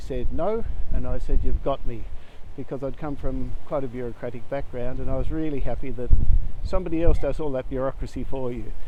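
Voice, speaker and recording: A man's fairly quick delivery at a medium pitch with ordinary pitch variation, in an Australian accent. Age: 70s. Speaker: conservation volunteer. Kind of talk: personal testimony. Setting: outdoors. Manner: casual, with hesitations.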